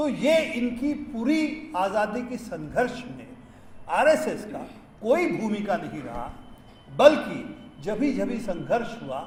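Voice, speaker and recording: A man with a non-native accent and lively intonation, with audible room echo and noticeable background noise. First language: not Hindi (speaking Hindi). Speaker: science activist. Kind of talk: public speech. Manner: halting, with fillers.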